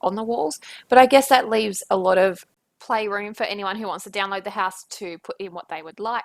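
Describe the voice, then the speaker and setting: A woman with an Australian accent at a fairly quick pace, on a very clean recording with a silent background. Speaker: gaming YouTuber. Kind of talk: voice-over commentary on a speed build. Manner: casual, with many fillers.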